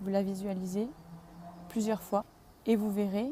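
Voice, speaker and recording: Somewhat breathy, with a dark, mellow tone, a woman speaks at a medium pitch with fairly even intonation. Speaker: yoga and wellness vlogger. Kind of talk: vlog tutorial. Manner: hesitant, with filler sounds.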